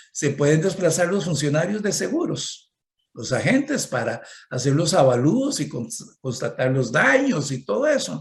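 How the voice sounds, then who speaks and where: Fairly high-pitched male speech at a fairly slow pace, with very wide pitch swings and audible room echo. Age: 60s. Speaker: economist and conference speaker. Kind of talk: conference talk.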